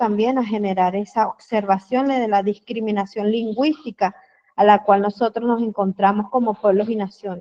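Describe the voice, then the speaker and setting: In a dry, close recording with no echo, a woman speaks fairly slowly at a medium pitch, her tone dark and mellow and her intonation monotone and flat. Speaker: diplomado participant, educator. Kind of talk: online seminar discussion. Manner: halting, many fillers.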